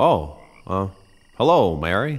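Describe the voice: Using a put-on character voice, a man speaks slowly at a fairly low pitch with big pitch swings.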